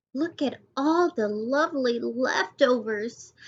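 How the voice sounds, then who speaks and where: Squeaky and high-pitched, a woman puts on a character voice and speaks at a fairly slow pace. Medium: read story.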